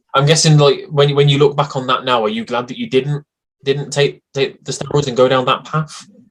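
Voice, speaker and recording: With a British accent, a man talks fairly quickly at a fairly high pitch and with fairly even intonation. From Britain. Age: 30s. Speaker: podcast host. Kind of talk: interview.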